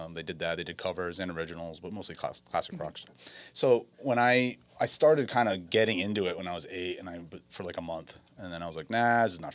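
Speaking at a very fast pace, a man with a very deep, low pitch shows ordinary pitch variation and big swings in loudness. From Westerly, Rhode Island. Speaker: drummer. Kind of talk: casual interview. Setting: studio.

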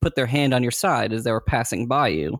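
In a normal speaking voice, a man with an American accent talks at a moderate pace in a medium pitch with ordinary pitch variation, on a very clean recording with a silent background. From North Carolina, Greensboro. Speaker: fantasy author. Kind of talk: casual chat.

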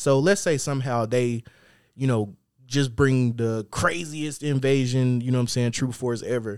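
Pitched at a medium level, a man talks at a moderate pace with ordinary pitch variation. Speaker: podcast co-host. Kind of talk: casual chat. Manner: rambling, repetitive delivery.

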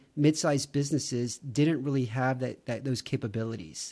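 A man with a Texan accent speaks at a moderate pace and fairly high pitch. The recording is very clean with a silent background. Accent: Texan American. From Texas, Houston. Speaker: marketing professional. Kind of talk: casual interview.

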